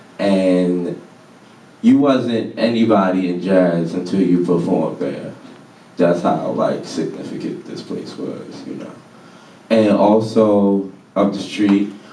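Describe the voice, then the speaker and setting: A man with a very deep, low pitch, big swings in loudness, fairly even intonation and audible room echo. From Baltimore, Maryland, US. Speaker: artist and lecture speaker. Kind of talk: public talk. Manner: casual, conversational.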